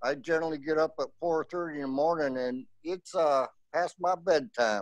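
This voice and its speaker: This man has an ordinary speaking voice, fairly high in pitch, with ordinary pitch variation. He talks at a moderate pace, and the sound is dry and close with no echo. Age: 60s. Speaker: beekeeper. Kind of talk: casual chat.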